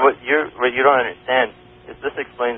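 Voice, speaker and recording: Noticeable background noise sits behind a man speaking in a medium pitch. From Canada. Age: young. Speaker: evolution graduate student. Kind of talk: radio call-in debate. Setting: phone line.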